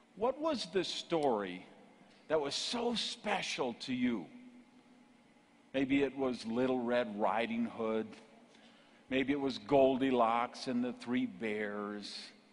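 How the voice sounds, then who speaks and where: A man's medium-pitched voice with lively intonation, a very slow pace, long, frequent pauses and noticeable background noise. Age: 50s. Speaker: motivational speaker. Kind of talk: keynote speech. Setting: stage with audience. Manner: animated.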